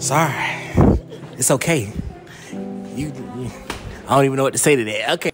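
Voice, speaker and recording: Music plays in the background as a man speaks at a fairly quick pace. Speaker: event host. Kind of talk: playful hosting banter. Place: studio. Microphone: handheld.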